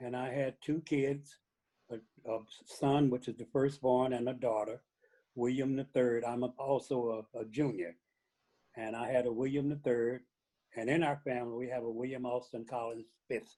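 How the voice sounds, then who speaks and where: A man with an American accent speaks in a dark, mellow tone with monotone, flat intonation. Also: medium pitch for a man, moderate pace. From US Midwest, St. Louis, Missouri. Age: 80s+. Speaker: interview guest, retiree. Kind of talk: interview. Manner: halting, with many fillers.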